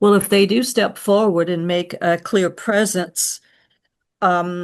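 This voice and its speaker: A woman at a very slow pace, medium in pitch with ordinary pitch variation, over a quiet background. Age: 70s. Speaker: audience member. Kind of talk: casual chat. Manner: halting.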